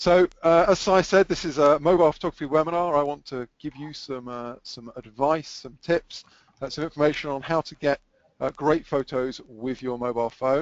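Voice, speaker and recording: A man with an American accent, fairly high-pitched, ordinary pitch variation, moderate pace and big swings in loudness. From England. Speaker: photographer. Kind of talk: webinar presentation.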